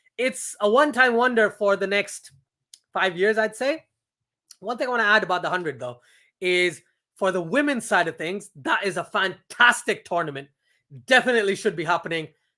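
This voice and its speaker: With an American accent, a man projects a raised, high-pitched voice in a bright, sharp, animated tone, using lively intonation at a fairly quick pace with long, frequent pauses, on a very clean recording with a silent background. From Pakistan. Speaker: cricket streamer. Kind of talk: live watchalong commentary and chat. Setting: live stream. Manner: casual, animated.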